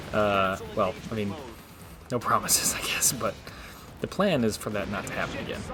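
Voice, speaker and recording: This man speaks quietly at a fairly low pitch. Music plays in the background. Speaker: gaming video creator. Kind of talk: let's play commentary. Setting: home recording, roommates nearby. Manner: speaking quietly; casual, hesitant with fillers.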